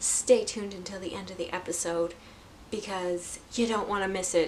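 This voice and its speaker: Amid background music and audible room echo, a woman talks at a moderate pace in a medium pitch with flat, monotone intonation and big swings in loudness. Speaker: knitting podcaster. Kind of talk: casual vlog chat. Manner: halting, stuttering.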